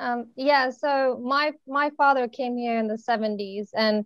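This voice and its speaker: In a quiet background, a woman speaks at a fairly slow pace with fairly even intonation. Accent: American. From United States. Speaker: youth speaker. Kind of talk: video call discussion. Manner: halting.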